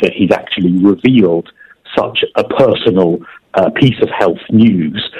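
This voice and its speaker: A man with a London accent speaks at a moderate pace. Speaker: TV presenter and royal commentator. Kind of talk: interview.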